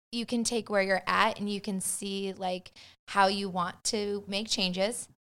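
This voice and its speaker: On a very clean recording with a silent background, a woman with an American accent speaks fairly slowly at a medium pitch, her intonation flat and monotone. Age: 40s. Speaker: podcast guest, mother. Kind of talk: casual chat.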